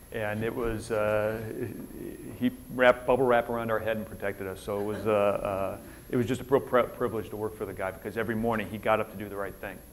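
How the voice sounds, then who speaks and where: In an American accent, the speaker rushes along at a very fast pace with monotone, flat intonation. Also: man, fairly low pitch for a man. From Minnesota, US Upper Midwest. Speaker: retired military officer, keynote speaker. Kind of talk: conference keynote talk. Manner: casual, conversational with many fillers.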